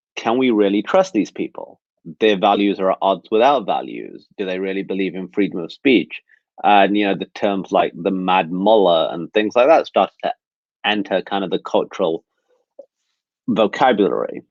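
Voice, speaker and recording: At a moderate pace, a man talks with an English Midlands accent. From England, Nottingham. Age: 30s. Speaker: speaker sharing personal story. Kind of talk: webinar talk, personal testimony. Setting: video webinar.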